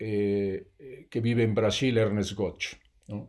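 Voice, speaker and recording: A man's medium-pitched voice, dark and mellow in tone, delivered at a very slow pace with monotone, flat intonation, in a very clean recording over a silent background. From Mexico, Oaxaca. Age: 60s. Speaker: regenerative farmer. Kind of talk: interview.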